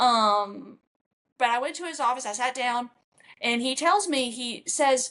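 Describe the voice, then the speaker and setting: A woman with a Kentucky accent, high-pitched with a bright, sharp tone, at a moderate pace with lively intonation. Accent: country (rural Kentucky). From Kentucky, rural. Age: 30s. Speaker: country singer. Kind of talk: casual interview.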